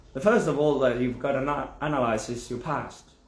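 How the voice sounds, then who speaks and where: A man with an Argentine accent talks at medium pitch with fairly even intonation. Room echo is audible. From Argentina. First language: Spanish. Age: 40s. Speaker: spiritual teacher. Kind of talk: video explainer monologue. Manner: halting, with false starts.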